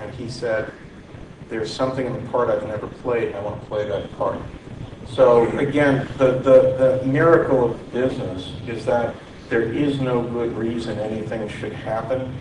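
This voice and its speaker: A man speaks at a moderate pace with a medium pitch. His loudness swings widely, and there is noticeable background noise. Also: fairly even intonation. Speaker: media executive. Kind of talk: panel discussion. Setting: stage with audience. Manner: halting.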